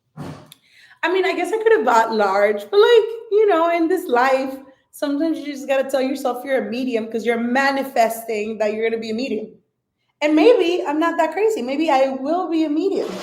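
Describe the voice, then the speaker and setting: Speaking with a Spanish accent, a woman uses an animated tone and very wide pitch swings in a high pitch at a moderate pace, with audible room echo. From Mexico (Jalisco). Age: 30s. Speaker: social media influencer, restaurant worker. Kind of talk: casual livestream chat. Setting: livestream at a dining room table.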